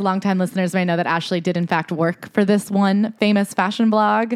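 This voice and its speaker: A woman talks at a fairly quick pace in a fairly low pitch. It is an unremarkable speaking voice, with a dry, close sound and no echo. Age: 20s. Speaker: podcast host. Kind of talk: casual chat.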